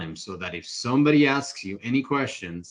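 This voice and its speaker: Lively intonation and an animated tone from a man. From Ecuador. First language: Spanish. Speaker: real estate investor. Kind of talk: podcast interview.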